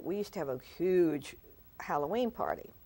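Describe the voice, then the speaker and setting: Here a woman uses an ordinary speaking voice at medium pitch and a moderate pace. Her pitch variation is ordinary. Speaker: founder and director of a senior performing group. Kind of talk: interview. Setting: TV studio.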